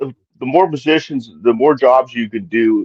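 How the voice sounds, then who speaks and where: A man is speaking. He keeps a fairly quick pace. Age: 60s. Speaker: podcast panelist. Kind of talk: casual chat. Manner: halting, many fillers.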